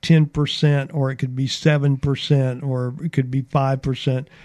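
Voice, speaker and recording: This is a man with an Alabama accent. His pitch sits fairly high. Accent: Southern US (Alabama). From US South (Mobile, Alabama). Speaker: radio station owner and programmer. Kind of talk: radio interview. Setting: radio studio.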